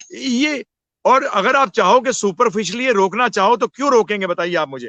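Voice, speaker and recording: Lively intonation colors a man's high-pitched speech. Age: 60s. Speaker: spiritual teacher. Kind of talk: interview on spirituality. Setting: live video session.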